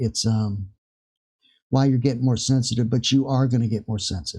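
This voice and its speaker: The tone is dark and mellow, somewhat breathy, with ordinary pitch variation. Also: man. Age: 60s. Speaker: spiritual vlogger. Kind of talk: casual spiritual talk to camera. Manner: halting, many fillers.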